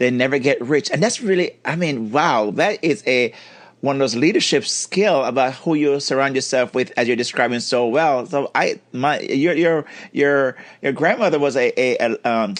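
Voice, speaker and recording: This man has a plain, everyday voice with a fairly high pitch, ordinary pitch variation and very even loudness. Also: moderate pace. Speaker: podcast host. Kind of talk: podcast interview talk.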